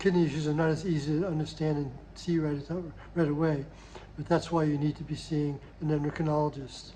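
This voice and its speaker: A man talks at a very fast pace in monotone, flat intonation. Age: 70s. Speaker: diabetes program coach. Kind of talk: health advice monologue. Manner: halting, repeats words.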